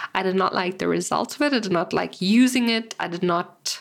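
Using vocal fry, a woman speaks at a moderate pace with ordinary pitch variation. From South Africa. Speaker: artist and online art community podcast host. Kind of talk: solo Q&A podcast monologue. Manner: casual, chatty with many fillers.

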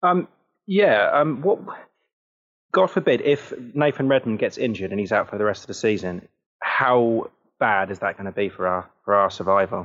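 A man with a southern English accent at medium pitch, very wide pitch swings, moderate pace and long, frequent pauses. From Southampton, southern England. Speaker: football podcaster and fan. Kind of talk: casual chat.

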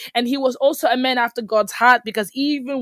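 In a plain, everyday voice, a woman talks at a moderate pace, the sound dry and close with no echo. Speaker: podcast host. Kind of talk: faith-based solo podcast talk.

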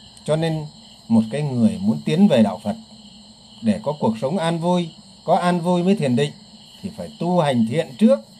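A man's fairly high voice with a dark, mellow tone, very wide pitch swings, moderate pace, and long, frequent pauses. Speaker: Buddhist teacher. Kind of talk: Dharma talk.

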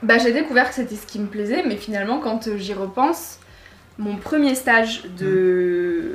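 Over noticeable background noise and audible room echo, the speaker talks at a fairly slow pace with lively intonation and big swings in loudness. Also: woman, fairly high pitch for a woman. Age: 20s. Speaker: student and podcast creator. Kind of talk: interview.

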